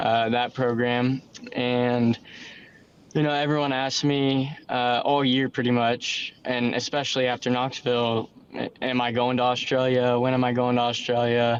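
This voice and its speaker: Speaking at a moderate pace, a man holds a medium pitch in a monotone, flat intonation. His loudness stays very even. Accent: American. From United States. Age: young. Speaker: sprint car driver. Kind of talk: podcast interview.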